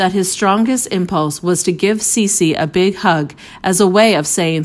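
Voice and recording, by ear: Someone is reading aloud in a natural voice, and the pitch varies in an ordinary way.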